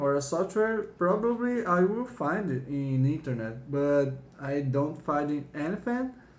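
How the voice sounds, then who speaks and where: Speech comes very slowly, carrying a non-native accent. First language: not English. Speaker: YouTuber showing a found floppy disk. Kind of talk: casual video walkthrough; reading aloud. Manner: halting.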